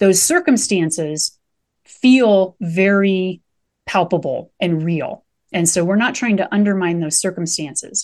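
An unremarkable speaking voice with an American accent moves at a fairly slow pace with ordinary pitch variation against a quiet background. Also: woman, medium pitch for a woman. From Nebraska. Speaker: mindfulness coach and meditation teacher. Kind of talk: podcast interview.

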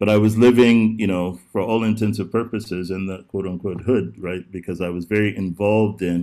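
This is a man's voice. His intonation stays fairly even. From Texas and Oklahoma. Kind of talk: interview. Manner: halting.

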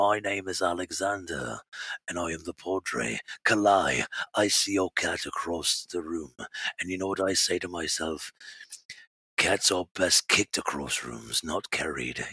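A man puts on a character voice with an English accent, very deep and low in pitch. It comes out raspy, at a moderate pace.

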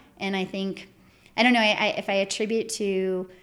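A woman with an American accent at medium pitch and a moderate pace, in a monotone, flat intonation, on a very clean recording with a silent background. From northern Michigan. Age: 40s. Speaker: environmental regulatory consultant. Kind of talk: casual interview.

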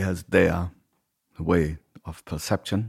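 A man's somewhat breathy voice at a very slow pace, with fairly even intonation, in a very clean recording with a silent background. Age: 40s. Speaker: podcast host and musician. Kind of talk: casual chat. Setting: home.

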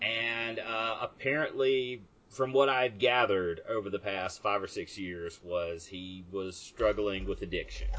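A man speaks at a fairly slow pace, at medium pitch with ordinary pitch variation. He has a plain, everyday voice. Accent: American. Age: 40s. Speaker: podcast host. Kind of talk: casual chat.

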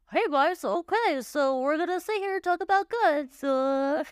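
A put-on character voice with a high pitch. It moves along at a moderate pace.

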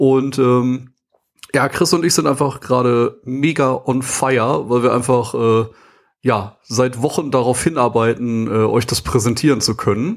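A man's normal speaking voice, medium in pitch, very even in loudness, at a fairly slow pace. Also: ordinary pitch variation. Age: 30s. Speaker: podcast host, sales professional. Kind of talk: casual chat.

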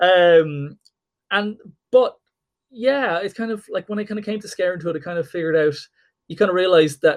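With an Irish accent, a man speaks fairly quickly at a high pitch with ordinary variation, big shifts in loudness, and long, frequent pauses. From Ireland. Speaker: comic book artist and writer. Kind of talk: casual interview.

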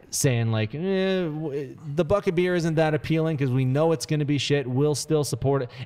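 Recorded very cleanly against a silent background, a man speaks at a moderate pace in a dark, mellow tone, with ordinary pitch variation and hardly any pauses. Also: fairly high pitch for a man. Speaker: radio host. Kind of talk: casual chat.

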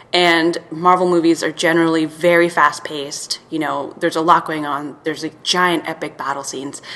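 Fairly low in pitch, a woman talks with hardly any pauses. Her intonation is monotone and flat, and there's noticeable background noise. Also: moderate pace. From Serbia. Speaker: film title design writer and editor. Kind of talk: casual chat.

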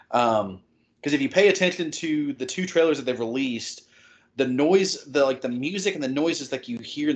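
A man talks with ordinary pitch variation. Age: 20s. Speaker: podcast host and fan site editor. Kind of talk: casual chat. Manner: animated.

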